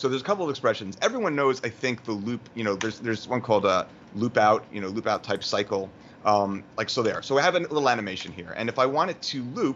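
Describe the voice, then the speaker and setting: Lively in intonation, a man with a New York accent talks at a very fast pace and a medium pitch. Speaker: motion graphics tutorial creator. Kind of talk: tutorial.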